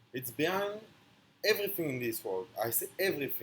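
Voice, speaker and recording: Somewhat breathy, a man with a strong non-native accent speaks with lively intonation. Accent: strong foreign. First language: not English. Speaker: online speaker on philosophy. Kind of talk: philosophical monologue. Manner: halting.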